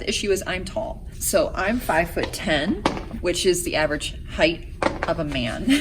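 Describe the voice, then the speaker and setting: Noticeable background noise and audible room echo surround the recording. A woman talks at a moderate pace. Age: 30s. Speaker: vlogger and competitive figure skater. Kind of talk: casual vlog talk to camera. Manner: chatty, casual with fillers.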